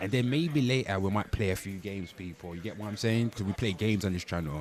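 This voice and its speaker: A man with a British accent speaks in an animated tone at a fairly low pitch with ordinary pitch variation. Noticeable background noise is audible. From Britain. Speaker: livestreamer, pop culture commentator. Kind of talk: live stream chat. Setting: livestream.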